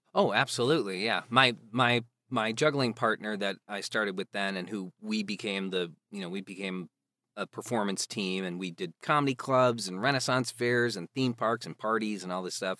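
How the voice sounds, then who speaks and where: With an American accent, a man speaks at a moderate pace in a fairly low pitch, his bright, sharp tone showing ordinary pitch variation in a dry, close sound with no echo. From US Midwest, Chicago area. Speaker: actor and audiobook narrator. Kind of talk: casual chat. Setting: remote call. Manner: quiet.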